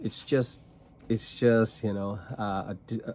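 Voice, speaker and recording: At a very slow pace, a man with a Filipino accent speaks with fairly even intonation. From Philippines, rural province. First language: Tagalog and Cebuano. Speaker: trading card content creator. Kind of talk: casual vlog monologue. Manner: slow, deliberate; halting with repetitions.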